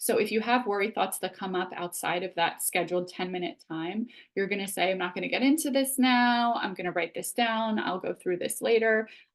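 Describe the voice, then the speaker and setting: Hardly pausing, a woman speaks at a fairly quick pace in a medium pitch with ordinary pitch variation. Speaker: psychologist and author. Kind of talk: webinar presentation. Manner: fast.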